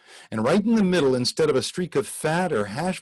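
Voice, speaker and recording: A man with an American accent and vocal fry makes very wide pitch swings, in a dry, close sound with no echo. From Los Angeles. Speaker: poet and voice actor. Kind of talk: poetry reading. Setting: live video call.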